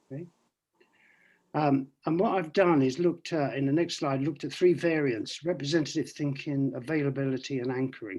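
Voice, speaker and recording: In an ordinary speaking voice, a man talks at a moderate pace, his fairly high pitch showing ordinary variation. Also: quiet background. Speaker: economist giving a talk. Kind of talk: online presentation with slides. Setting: video call.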